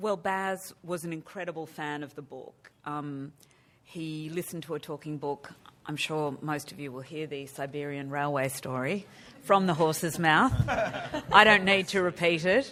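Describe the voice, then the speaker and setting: A woman's very deep, low voice with an Australian accent, moderate pace, ordinary pitch variation and big swings in loudness. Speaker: film producer. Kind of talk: press conference.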